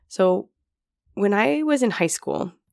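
Her intonation is lively and her voice has vocal fry. The woman keeps a moderate pace. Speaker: life coach. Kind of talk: solo podcast talk.

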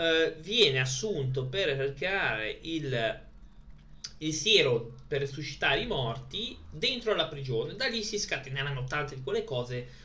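Audible room echo surrounds a man who speaks fairly slowly in a fairly high voice, his intonation lively. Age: 30s. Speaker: streamer presenting his DVD collection. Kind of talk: casual live stream chat. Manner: halting.

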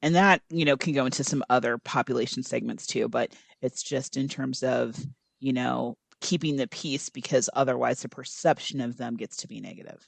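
Her pitch very deep and low, a woman speaks with vocal fry at a moderate pace with ordinary pitch variation, in a dry, close sound without echo. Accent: American. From US Midwest, Iowa. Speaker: podcast co-host. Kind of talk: casual roundtable discussion. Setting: remote call.

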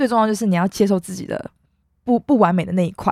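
In a dry, close sound with no echo, a woman speaks at a medium pitch with ordinary pitch variation. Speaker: university student podcast host. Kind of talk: casual chat.

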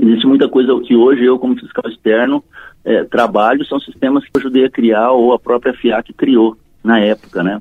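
Speaking at a moderate pace, a man of medium pitch keeps his intonation fairly even. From Minas Gerais, Triângulo Mineiro (Uberlândia). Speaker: tax auditor. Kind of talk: casual interview. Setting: phone call. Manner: halting.

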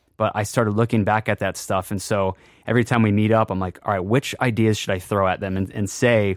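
With an American accent, a man talks in a fairly low, monotone, flat voice. The sound is dry and close with no echo, in a very clean recording with a silent background. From Worcester, Massachusetts, New England. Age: 30s. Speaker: drum company founder and drummer. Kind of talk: casual interview chat.

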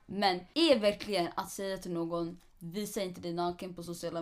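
This woman's voice sits fairly low. Her pitch varies in an ordinary way. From Eritrea, moved to Sweden at five. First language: Tigrinya (speaking Swedish). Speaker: podcast co-host. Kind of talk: casual chat.

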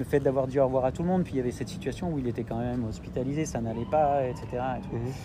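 Speaking at a very fast pace, a man with a medium pitch has a dark, mellow, somewhat breathy tone. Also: ordinary pitch variation. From Italy (French family). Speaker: entrepreneur in film and culture. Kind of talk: interview.

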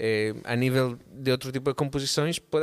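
In a dry, close sound with no echo, a man speaks at medium pitch with an ordinary speaking voice. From Barcelona, Spain. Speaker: musician and drummer. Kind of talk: casual chat.

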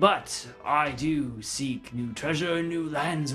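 A man talks fairly slowly in a put-on character voice with a fairly high pitch. Clear music plays in the background. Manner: haughty, curious.

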